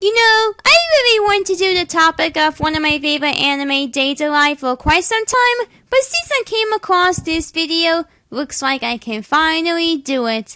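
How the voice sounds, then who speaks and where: A woman with an extremely high pitch and a bright, sharp tone uses a raised, projected voice, her pitch swinging very widely. She keeps a moderate pace with hardly any pauses, and the sound is dry and close with no echo. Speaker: online video commentator. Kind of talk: video review commentary.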